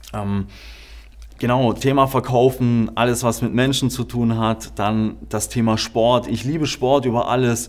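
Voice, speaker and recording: At a fairly slow pace, a man talks with fairly even intonation in an ordinary speaking voice. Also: medium pitch for a man. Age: 20s. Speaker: podcast host. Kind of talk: podcast introduction monologue.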